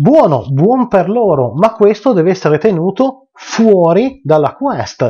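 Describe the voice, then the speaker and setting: Over a quiet background, the voice moves at a very slow pace with hardly any pauses. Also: man. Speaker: tabletop RPG game master, video channel host. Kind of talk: unscripted video rant about game mastering. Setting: home video recording, addressing viewers. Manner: unscripted, rambling, impassioned, forceful and exasperated. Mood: passionate, mildly annoyed rant. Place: home room.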